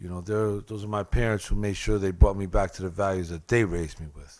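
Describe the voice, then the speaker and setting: Talking at a fairly quick pace, a man with a fairly low pitch has a plain, everyday voice. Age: 60s. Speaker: addiction counselor and formerly incarcerated advocate. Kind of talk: panel testimony. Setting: legislative hearing room with audience.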